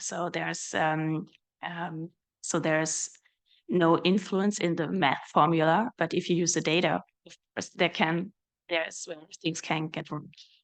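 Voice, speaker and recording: Fairly low-pitched, a woman talks fairly slowly with a slight German accent and long, frequent pauses. Her intonation is flat and monotone, while her loudness swings widely. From Germany. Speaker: research director, mathematician. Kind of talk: panel discussion. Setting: panel event with audience. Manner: hesitant, many fillers.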